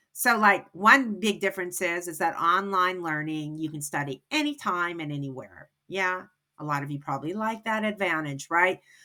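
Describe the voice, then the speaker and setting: On a very clean recording with a silent background, a woman with a bright, sharp tone and a fairly low pitch speaks at a moderate pace with lively intonation and hardly any pauses. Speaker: ESL instructor. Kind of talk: recorded class instructions.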